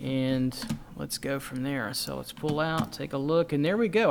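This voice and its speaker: This man's fairly high pitch comes at a moderate pace. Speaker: drawing instructor. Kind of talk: tutorial. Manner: casual, halting with fillers.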